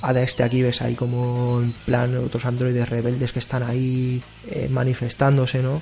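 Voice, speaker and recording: The speaker has a Spanish accent and monotone, flat intonation at a moderate pace. Music plays in the background. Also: man, medium pitch for a man. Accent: Peninsular Spanish. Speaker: video game podcast host. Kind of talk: casual chat.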